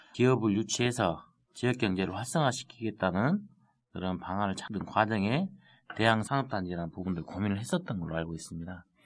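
With a slight Jeolla accent, a man speaks at a fairly quick pace and fairly low pitch, with ordinary pitch variation. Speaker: city councillor. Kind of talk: casual chat.

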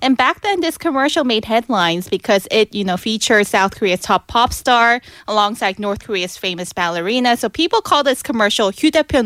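A plain, everyday voice runs at a fairly quick pace with hardly any pauses and lively intonation, on a very clean recording with a silent background and a dry, close sound with no echo. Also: woman, fairly high pitch for a woman. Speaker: K-pop news reporter. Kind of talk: casual chat. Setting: studio.

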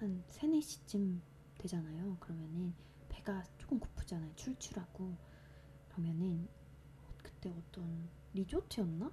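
Fairly slow speech from a woman, with noticeable noise in the background. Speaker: podcast host reading poetry. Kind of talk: casual chat; reading poetry aloud.

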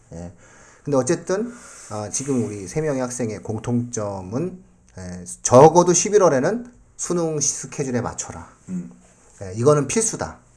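A man with a dark, mellow tone and medium pitch talks fairly slowly, leaving long, frequent pauses. His pitch swings very widely and his loudness shifts in big swings. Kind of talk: casual panel discussion with students.

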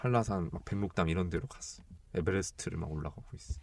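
Very deep, low male speech, its pitch varying in an ordinary way. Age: 20s. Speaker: podcast co-host, university student. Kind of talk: casual chat. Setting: recording studio.

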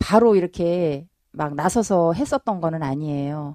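A woman's fairly low, dark, mellow voice with lively intonation, in a dry, close sound with no echo and a quiet background. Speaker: bereaved mother of a ferry disaster victim. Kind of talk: interview testimony. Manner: halting, many fillers.

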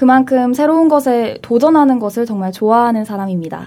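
Her tone is dark and mellow, with a fairly high pitch for a woman. She keeps a moderate pace. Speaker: university student on leave. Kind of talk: casual group discussion.

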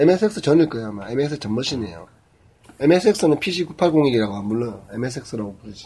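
A man at a medium pitch with very wide pitch swings, big swings in loudness, a dark, mellow tone, a somewhat breathy quality and a fairly slow pace. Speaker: podcast co-host. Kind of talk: casual chat. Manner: joking, talkative.

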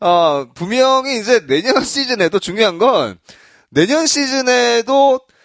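Extremely high pitch from a man speaking at a very slow pace. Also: dry, close sound with no echo. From Busan, South Korea. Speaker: baseball podcast host. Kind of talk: casual chat.

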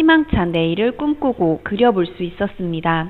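A woman speaks at a fairly slow pace. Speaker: social worker. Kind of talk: scripted announcements. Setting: studio. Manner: softer, more relaxed than before.

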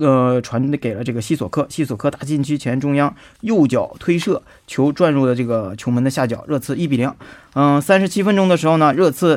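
At a fairly quick pace, a man talks with lively intonation and a fairly high pitch. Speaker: sports commentator. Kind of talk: radio sports news talk. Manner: filler-heavy, hesitant.

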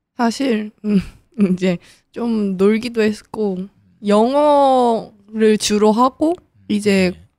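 A woman with a fairly high pitch and a dark, mellow tone speaks at a very slow pace. Her loudness swings widely, while her pitch varies in an ordinary way. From Seoul, South Korea. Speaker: university entrant. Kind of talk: interview. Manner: halting.

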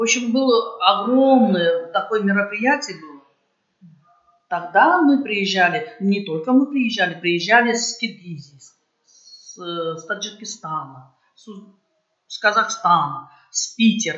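A woman speaks at a fairly slow pace in a medium pitch. She leaves long, frequent pauses. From Uzbekistan, Tashkent region. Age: 60s. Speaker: folk choir member. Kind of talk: interview. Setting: charity evening event. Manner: halting.

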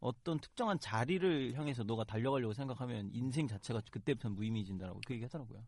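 A man talks at a very fast pace with hardly any pauses. His pitch varies in an ordinary way over a quiet background. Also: medium pitch for a man. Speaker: student election candidate. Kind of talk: interview on campus election.

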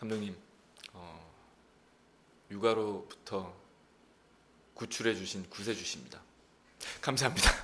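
With a slight Gyeongsang accent, a man speaks at a fairly slow pace and a fairly low pitch, with ordinary pitch variation and long, frequent pauses. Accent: slight Gyeongsang dialect slipping through. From Busan, South Korea. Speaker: actor. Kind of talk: casual chat.

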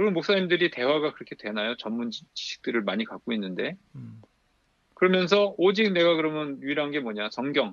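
Very wide pitch swings mark this man's fairly high voice as he talks at a fairly quick pace. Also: big swings in loudness. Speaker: pastor and church history lecturer. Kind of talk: lecture-style discussion.

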